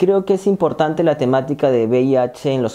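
A man's fairly high-pitched voice with a dark, mellow tone at a fairly slow pace. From Peru, Lima; Peru. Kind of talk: testimony. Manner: halting, many fillers. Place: empty room. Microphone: lapel.

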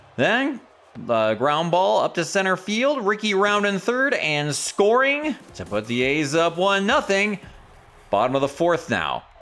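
This man's pitch is high, with very wide swings and an animated tone. Noticeable background noise runs underneath. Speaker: video game streamer. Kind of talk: live sports commentary. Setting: gameplay commentary over video game. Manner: animated play-by-play.

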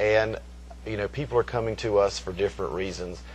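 A man's voice with vocal fry, over light background noise. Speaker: college hospitality professor. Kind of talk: interview answer. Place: hall.

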